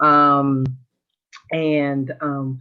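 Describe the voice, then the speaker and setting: In a Southern US accent, a woman speaks with a very deep, low pitch and a bright, sharp tone. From US South, Memphis, Tennessee. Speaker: military veteran and government policy official. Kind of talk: virtual panel discussion. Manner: conversational with many fillers.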